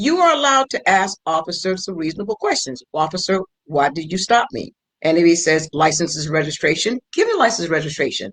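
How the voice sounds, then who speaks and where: A woman with a normal speaking voice talks at medium pitch and a fairly quick pace, her intonation lively and the sound dry and close with no echo. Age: 60s. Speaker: former prosecutor, legal guest. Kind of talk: round table legal discussion.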